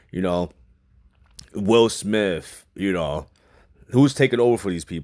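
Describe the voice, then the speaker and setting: A man with a New York accent speaks at a fairly slow pace in a fairly low pitch, his tone animated and his intonation lively, on a very clean recording with a silent background. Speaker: movie reviewer. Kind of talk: casual movie review. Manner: casual, animated.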